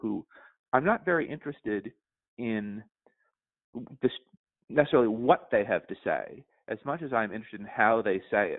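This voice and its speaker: A man with an American accent talks fairly quickly. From New York City. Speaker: journalist and editor. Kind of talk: interview answer.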